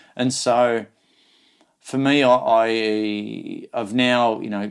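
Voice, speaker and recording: In a very clean recording with a silent background, a man talks in an Australian accent with monotone, flat intonation. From rural Australia. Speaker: motivational speaker and coach. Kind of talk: interview conversation.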